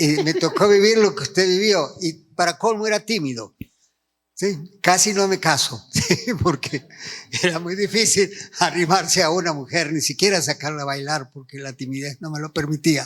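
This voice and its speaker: A man talks at a moderate pace in a high pitch, with ordinary pitch variation. His loudness swings in big jumps. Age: 70s. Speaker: lecturer. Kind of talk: Q&A after a lecture.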